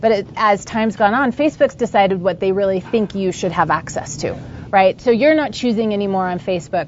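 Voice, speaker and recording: Noticeable background noise sits behind a woman speaking at a fairly quick pace. Her voice is medium in pitch, with lively intonation. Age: 30s. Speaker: entrepreneur. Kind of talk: interview.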